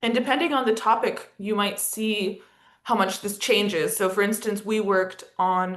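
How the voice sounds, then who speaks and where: This is an unremarkable speaking voice with an American accent. It keeps a moderate pace and ordinary pitch variation. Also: woman. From United States. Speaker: education and partnership lead at an advocacy organisation, webinar presenter. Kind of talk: webinar presentation. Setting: video call.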